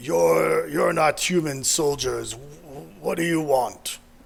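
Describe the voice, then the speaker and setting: A man puts on a raspy, fairly high-pitched character voice. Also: fairly slow pace. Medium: actual play. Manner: broken, simple speech.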